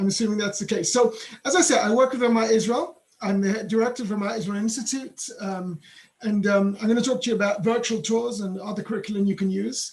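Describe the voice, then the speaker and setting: At a very fast pace, a man speaks in a high voice with ordinary pitch variation. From England. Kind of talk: webinar presentation.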